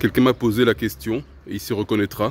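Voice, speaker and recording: The recording is dry and close with no echo, carrying a man's medium-pitched voice with a non-native accent. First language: not French (speaking French). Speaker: self-improvement video host. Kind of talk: casual spoken monologue to camera.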